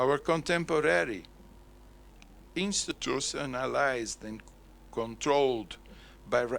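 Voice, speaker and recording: A man with a Portuguese accent speaks at a fairly slow pace, leaving long, frequent pauses. His voice sits at a medium pitch with lively intonation. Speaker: conference speaker. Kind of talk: lecture.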